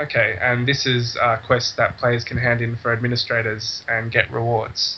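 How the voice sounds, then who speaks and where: A man with an Australian accent speaks at a moderate pace and medium pitch, with monotone, flat intonation over noticeable background noise. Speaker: game server admin. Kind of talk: casual game tutorial talk.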